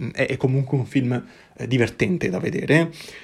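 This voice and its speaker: A somewhat breathy man at a medium pitch, with fairly even intonation and a fairly quick pace. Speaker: podcast host. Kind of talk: solo film review monologue. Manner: halting, many fillers and repetitions.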